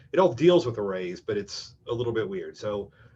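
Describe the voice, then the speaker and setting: With lively intonation and a somewhat breathy voice, a man speaks at a fairly quick pace. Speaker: programming instructor. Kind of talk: lecture. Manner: fast.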